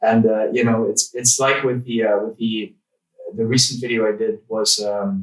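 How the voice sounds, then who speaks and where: Speaking at a moderate pace with a non-native accent, a man holds a medium pitch in a monotone, flat intonation. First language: not English. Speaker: tech YouTuber. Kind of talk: casual interview chat. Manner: halting, searching for words.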